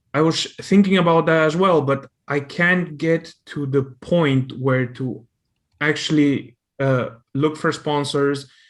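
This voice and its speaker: Very slow, fairly high-pitched speech from a man, with fairly even intonation against a quiet background. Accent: non-native. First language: not English. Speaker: audience member asking a question. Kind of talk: question from audience. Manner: halting, many fillers and repeats.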